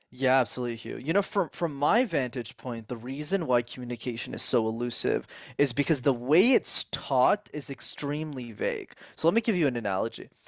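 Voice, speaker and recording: A man's fairly high, animated voice with lively intonation and a fairly quick pace, in a very clean recording with a silent background. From Canada, Montreal. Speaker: communication coach. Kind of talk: interview.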